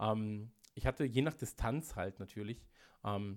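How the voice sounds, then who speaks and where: A man speaks at a fairly slow pace and a fairly low pitch, with ordinary pitch variation. The recording is very clean, with a silent background. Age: 30s. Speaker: podcast producer and marketer. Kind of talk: casual interview chat. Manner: hesitant, many filler sounds.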